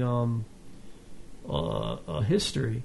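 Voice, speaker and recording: A man's voice is somewhat breathy. His pitch swings very widely. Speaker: podcast host. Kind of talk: interview. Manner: halting.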